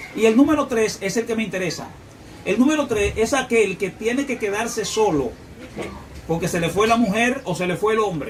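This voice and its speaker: The man's voice is high-pitched, with ordinary pitch variation. There is audible room echo and noticeable background noise. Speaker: preacher. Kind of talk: sermon. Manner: fast.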